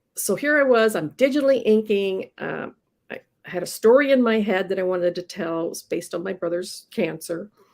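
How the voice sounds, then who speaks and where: A woman talks at a fairly quick pace in an unremarkable speaking voice of medium pitch. Her intonation is lively, with big swings in loudness. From Iowa, US Midwest. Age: 60s. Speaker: comic book inker. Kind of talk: casual interview chat.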